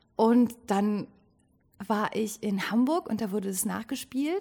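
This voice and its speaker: Speaking at a very slow pace, a woman has a fairly high pitch and a dark, mellow tone that is somewhat breathy. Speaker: actress and theatre director. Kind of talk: casual interview. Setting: rehearsal stage.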